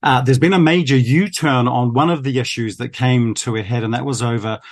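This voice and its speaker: Against a quiet background, a man with a New Zealand accent speaks at a medium pitch and a fairly quick pace, with ordinary pitch variation. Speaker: foreign correspondent. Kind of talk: news interview.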